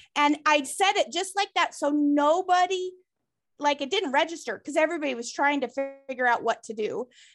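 A woman's high voice over background music, fairly quick, with lively intonation. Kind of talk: casual chat. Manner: level, calm.

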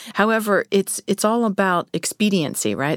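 Speaking at a fairly quick pace, a woman with an unremarkable speaking voice and medium pitch is captured in a dry, close sound with no echo. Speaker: real estate agent and podcast host. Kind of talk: casual interview.

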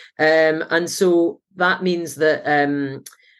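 Her Scottish accent comes through on a very clean recording with a silent background. The woman's pitch is very deep and low. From Scotland. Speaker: climate researcher and professor. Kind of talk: interview. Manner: energetic.

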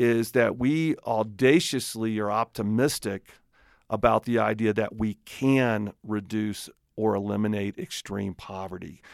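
In a very clean recording with a silent background, a man speaks with a Southern US accent at medium pitch and a fairly slow pace. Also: dry, close sound with no echo. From Alabama, US South. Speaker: nonprofit leader and radio host. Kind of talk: radio interview conversation.

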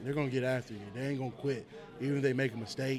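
A man speaks at a medium pitch. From Tennessee (Murfreesboro). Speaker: high school football coach. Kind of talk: casual interview.

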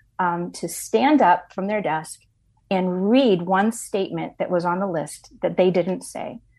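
In an unremarkable speaking voice, a woman talks at medium pitch and a moderate pace with ordinary pitch variation. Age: 60s. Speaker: ministry leader, author and speaker. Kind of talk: interview testimony.

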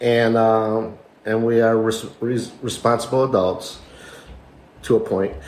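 The man's voice is medium in pitch and moves at a fairly slow pace with long, frequent pauses. Audible room echo is present. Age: 50s. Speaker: podcast co-host. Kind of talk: casual chat. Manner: animated, talks with his hands.

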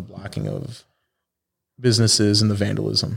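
A man speaks in a Chicago accent at a fairly low pitch. His pace is fairly quick. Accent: Chicago American English. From Chicago suburbs, US Midwest. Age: 20s. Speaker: car club founder. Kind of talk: casual chat.

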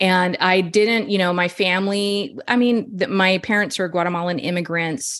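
A woman with an American accent uses an ordinary speaking voice at a medium pitch, with ordinary pitch variation, a moderate pace and hardly any pauses. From Texas. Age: 40s. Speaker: chicken keeper and homeopathy user. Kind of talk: interview.

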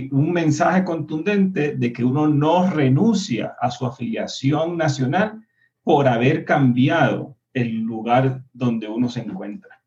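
This man's voice is somewhat breathy and fairly high, with lively intonation. He talks at a very slow pace. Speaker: party activist. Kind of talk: panel discussion.

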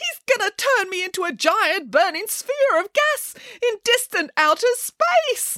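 Using a put-on character voice, a woman speaks at an extremely high pitch with big pitch swings, a bright, sharp tone and a fairly slow pace, the sound dry and close with no echo.

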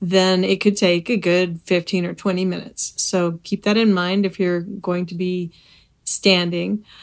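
Here a woman uses an ordinary speaking voice at a medium pitch, with fairly even intonation. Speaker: podcast host and bodywork practitioner. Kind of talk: guided meditation. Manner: calm, slow, soothing; gentle, unhurried with pauses.

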